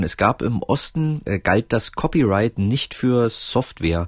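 In a dry, close recording with no echo, a man speaks fairly slowly at medium pitch, his voice swinging very widely in pitch. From East Germany, Roßlau and East Berlin. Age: 40s. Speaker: author and filmmaker. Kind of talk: casual interview. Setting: remote call with headset.

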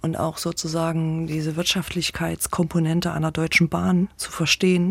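A woman speaks in a fairly low, somewhat breathy voice. The sound is dry and close with no echo, on a very clean recording with a silent background. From Thuringia, Weimar. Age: 50s. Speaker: theatre association director. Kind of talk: interview.

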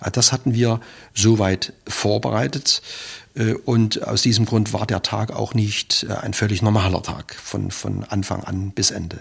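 The voice carries vocal fry and ordinary pitch variation. It moves at a fairly slow pace. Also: man, fairly low pitch for a man. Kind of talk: recalled interview testimony.

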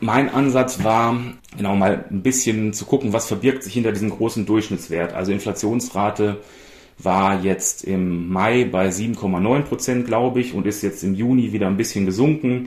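Here is a plain, everyday voice moving at a moderate pace with ordinary pitch variation. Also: man, fairly low pitch for a man. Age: 40s. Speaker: data journalist. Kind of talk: interview.

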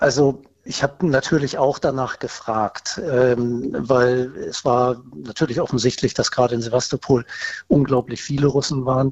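Male voice at a medium pitch, fairly even intonation, noticeable background noise. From northern Germany. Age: 50s. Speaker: caller, army reservist. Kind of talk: phone interview. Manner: hesitant with filler sounds.

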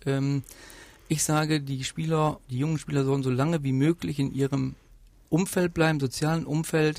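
Speaking at a moderate pace, a man uses a fairly high voice with fairly even intonation. The recording is very clean against a silent background. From Westphalia, Germany (Rheine). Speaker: football sporting director. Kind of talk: interview. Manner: hesitant, many fillers.

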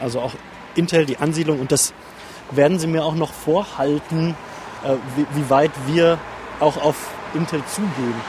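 A man speaks at a moderate pace with a fairly high pitch. His intonation is fairly even, and noticeable background noise is present. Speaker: journalist, regional studio head. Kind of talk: interview. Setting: in a bus and outdoors.

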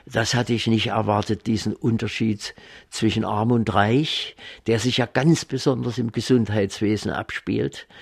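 On a very clean recording with a silent background, a man speaks at a fairly slow pace with vocal fry. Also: medium pitch for a man, fairly even intonation. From East Germany. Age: 80s+. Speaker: retired paediatric surgeon. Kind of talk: interview. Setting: garden of his home.

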